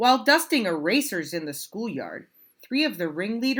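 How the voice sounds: A natural reading voice over a quiet background.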